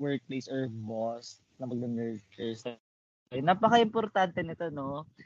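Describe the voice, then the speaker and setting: A man talks in a normal speaking voice at a fairly high pitch and a moderate pace, with lively intonation. The sound is dry and close with no echo. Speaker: podcast co-host. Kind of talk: casual chat.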